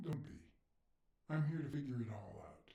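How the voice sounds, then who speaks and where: Using a put-on character voice, a man talks at a moderate pace in a fairly high pitch. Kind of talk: hard-boiled voice-over. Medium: video game. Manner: dry, laconic.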